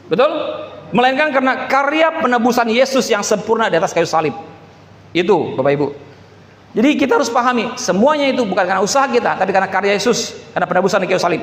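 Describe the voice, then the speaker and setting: A man with a high pitch and lively intonation at a very fast pace, with audible room echo and noticeable background noise. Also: very even loudness. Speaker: pastor. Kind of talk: sermon.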